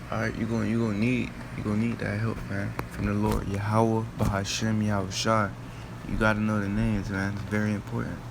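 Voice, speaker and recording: A man with a fairly low pitch talks in a monotone, flat way, with noticeable background noise and audible room echo. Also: fairly quick pace. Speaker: street preacher. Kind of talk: bible teaching. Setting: at home late at night. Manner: casual, repetitive.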